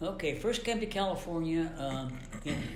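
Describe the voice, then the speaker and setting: A man with an American accent talks at a moderate pace. There is audible room echo and noticeable background noise. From western Pennsylvania, McKeesport near Pittsburgh. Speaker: retired engineer, interviewee. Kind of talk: oral history interview. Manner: halting, many fillers.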